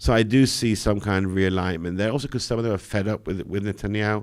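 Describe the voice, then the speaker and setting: In a very clean recording with a silent background, a man with a British accent talks very fast, very deep and low in pitch, with fairly even intonation. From Britain. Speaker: political journalist. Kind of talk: live Q&A analysis.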